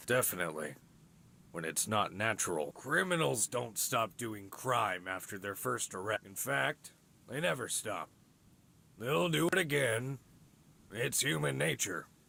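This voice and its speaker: A man speaks in a raspy, put-on character voice at medium pitch, with very wide pitch swings. His pace is moderate, broken by long, frequent pauses. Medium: video game. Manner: authoritative, curt.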